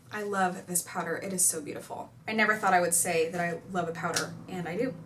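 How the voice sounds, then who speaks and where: A woman talks very fast. Noticeable background noise sits under her voice. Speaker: beauty YouTuber. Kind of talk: casual talk to camera.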